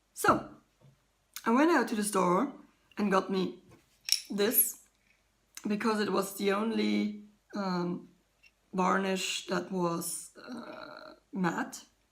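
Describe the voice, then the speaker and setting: With audible room echo, a woman speaks at a very slow pace with long, frequent pauses and lively intonation. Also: medium pitch for a woman. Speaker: artist vlogger. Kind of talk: casual vlog. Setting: home kitchen.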